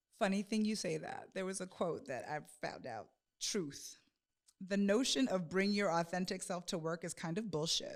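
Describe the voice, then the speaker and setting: With an American accent, a woman uses a normal speaking voice at medium pitch with ordinary pitch variation. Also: moderate pace, very clean recording, silent background. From US Northeast. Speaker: podcast co-host. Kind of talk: casual chat.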